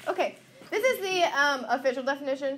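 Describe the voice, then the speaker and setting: A woman speaks loud and at a very fast pace. Her voice is high-pitched, with lively intonation. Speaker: math teacher. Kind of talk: classroom lecture. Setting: classroom.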